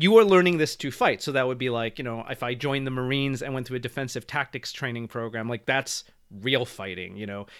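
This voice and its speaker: A fairly quick-paced man with an American accent, medium pitch and ordinary pitch variation, on a very clean recording with a silent background. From US suburbs. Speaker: martial arts instructor. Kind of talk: interview. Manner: halting.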